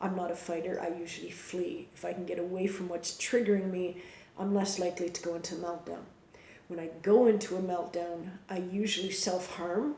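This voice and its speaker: Noticeable background noise and audible room echo fill the clip. A woman talks at a moderate pace with medium pitch. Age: adult. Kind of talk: personal explainer monologue. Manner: hesitant, many fillers and repetitions.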